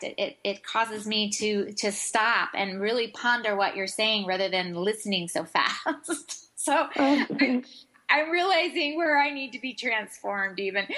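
An ordinary speaking voice with an American accent carries lively intonation. The pace is fairly slow. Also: woman, fairly high pitch for a woman. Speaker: radio show co-host.

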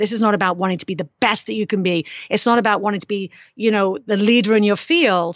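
A woman's medium-pitched, plain, everyday voice at a fairly quick pace, with ordinary pitch variation. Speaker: fitness expert and author. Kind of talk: casual interview chat.

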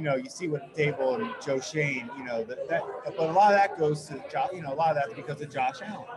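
Against crowd noise and audible room echo, a man with a fairly high voice talks at a very fast pace with lively intonation and hardly any pauses. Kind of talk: casual chat. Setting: brewery taproom.

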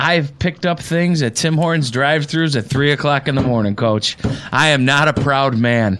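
With a Western New York accent, a man speaks in a fairly high pitch. He keeps a moderate pace and ordinary pitch variation. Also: very even loudness. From Buffalo, western New York. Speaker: football coach. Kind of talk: casual chat. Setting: studio.

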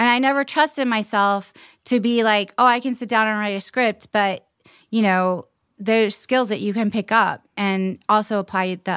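A woman talks at a moderate pace in an ordinary speaking voice, fairly high in pitch. The sound is dry and close with no echo, on a very clean recording with a silent background. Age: 40s. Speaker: actor. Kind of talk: casual chat.

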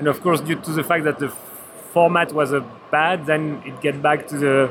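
Fairly even intonation from a fairly high-pitched man at a moderate pace, with noticeable background noise. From Switzerland. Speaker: board game designer. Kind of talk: trade fair interview. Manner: halting.

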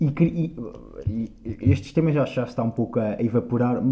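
A dark, mellow tone colors this voice. The pitch moves with ordinary variation. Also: man. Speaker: podcast co-host. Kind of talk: casual chat.

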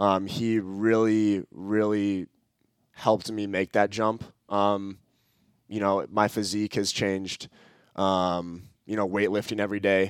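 A man with an Upper Midwest accent speaks at a fairly slow pace in a fairly low pitch, his intonation monotone and flat. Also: very clean recording, silent background. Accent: Upper Midwest American. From Minnesota (Edina, Twin Cities). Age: 20s. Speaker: college soccer player. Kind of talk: interview.

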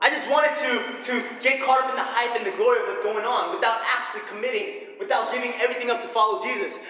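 A man speaks in a raised, projected voice at an extremely high pitch, very fast, with very wide pitch swings. Noticeable background noise and audible room echo fill the recording. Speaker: church leader, preacher. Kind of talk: sermon. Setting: stage with audience. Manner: animated.

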